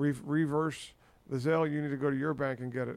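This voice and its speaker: A plain, everyday voice from a man, fairly high in pitch, at a fairly quick pace. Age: 50s. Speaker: podcast host. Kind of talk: casual chat.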